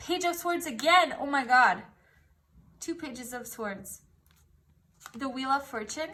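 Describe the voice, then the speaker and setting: A woman's high, raised, projected voice, bright and sharp in tone, with lively intonation, big swings in loudness, a fairly slow pace and long, frequent pauses. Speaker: tarot reader. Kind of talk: tarot reading. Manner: animated.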